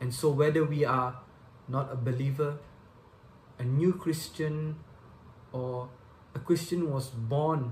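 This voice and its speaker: A somewhat breathy man at a fairly slow pace, fairly high in pitch with ordinary pitch variation. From Malaysia, Subang Jaya. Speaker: lay preacher. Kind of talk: sermon.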